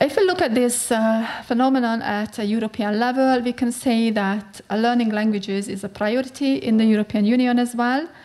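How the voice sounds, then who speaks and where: A woman's fairly high voice in a Hungarian accent, fairly even in intonation, with hardly any pauses over noticeable background noise. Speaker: researcher. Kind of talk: conference talk. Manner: halting.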